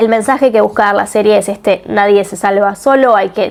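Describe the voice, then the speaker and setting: Speaking at a fairly quick pace with a Rioplatense accent, a woman is heard over noticeable background noise. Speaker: book and series reviewer. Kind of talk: video review. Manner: casual.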